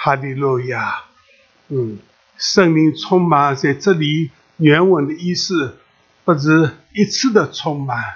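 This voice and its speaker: A man's fairly high voice at a very slow pace, with ordinary pitch variation and long, frequent pauses. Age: 80s+. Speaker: preacher. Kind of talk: sermon. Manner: halting, many filler sounds; animated, exclamatory.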